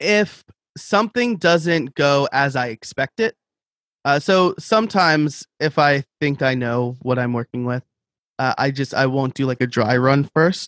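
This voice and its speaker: A man speaks with lively intonation at a fairly high pitch. The sound is dry and close, with no echo. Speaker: online educator and podcaster. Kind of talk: interview, casual conversation. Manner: fast talker.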